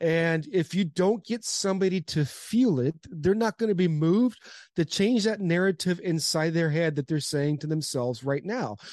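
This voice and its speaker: Over a quiet background, a high-pitched man speaks at a moderate pace with an animated tone, lively intonation and hardly any pauses, in a dry, close sound with no echo. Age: 40s. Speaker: former pro baseball player, motivational speaker. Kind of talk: podcast interview.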